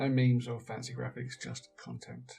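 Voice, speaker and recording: A man speaks quietly. Music plays in the background. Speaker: indie game developer. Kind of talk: screen-recorded tutorial narration.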